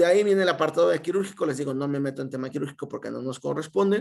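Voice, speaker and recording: His voice sits fairly high for a man. The intonation moves in a lively way. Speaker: medical resident. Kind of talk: lecture. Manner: fast.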